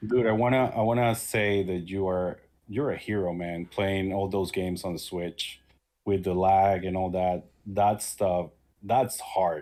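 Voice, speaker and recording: Speaking fairly slowly with a non-native accent, a man uses a very deep, low voice and fairly even intonation. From small country far from others. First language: not English. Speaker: YouTuber and shoot-em-up player. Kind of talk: casual interview chat. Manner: halting.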